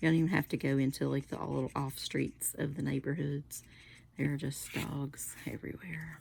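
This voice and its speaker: Soft-spoken whispering at a moderate pace. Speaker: card-making crafter. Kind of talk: casual craft tutorial chat. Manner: soft-spoken, near whisper.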